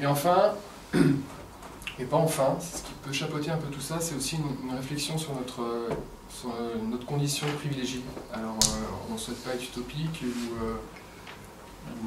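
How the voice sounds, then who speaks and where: Against loud background noise, a man speaks at a fairly slow pace with ordinary pitch variation. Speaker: presenter. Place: meeting room. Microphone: camera far.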